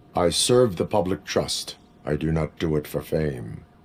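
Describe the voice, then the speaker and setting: A man puts on a character voice with a very deep, low pitch. He talks at a moderate pace. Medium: video game. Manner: flat, clipped, no contractions.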